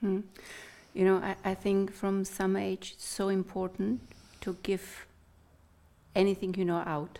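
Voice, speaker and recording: With a dark, mellow tone at medium pitch, a woman speaks in a flat monotone at a moderate pace, leaving long, frequent pauses. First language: Czech. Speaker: interviewer. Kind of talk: casual interview chat. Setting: studio.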